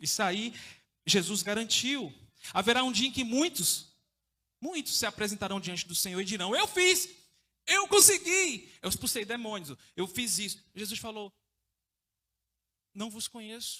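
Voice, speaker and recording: A man speaks in a raised, projected voice with a bright, sharp tone and high pitch. He swings his pitch very widely and takes long, frequent pauses. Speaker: evangelist preacher. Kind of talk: sermon. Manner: informal, conversational.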